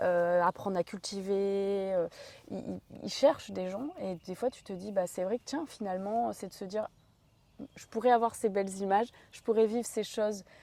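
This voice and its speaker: A woman speaks at medium pitch and a moderate pace, her tone dark and mellow, with ordinary pitch variation and big swings in loudness. The recording is very clean, with a silent background. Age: 30s. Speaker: interviewer, personal development channel host. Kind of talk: interview.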